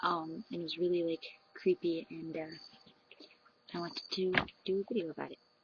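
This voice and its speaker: Over noticeable background noise, a woman with a fairly low pitch and fairly even intonation speaks at a fairly quick pace, with long, frequent pauses and big swings in loudness. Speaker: vlogger. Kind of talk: casual storytelling vlog. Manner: filler-heavy, lots of um and like; soft, hushed.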